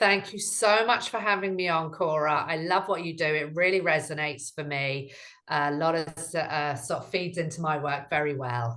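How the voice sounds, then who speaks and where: With a British accent, a woman talks in a very deep, low voice with a bright, sharp tone. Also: ordinary pitch variation, moderate pace, quiet background. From UK. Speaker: relationship coach. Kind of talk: interview.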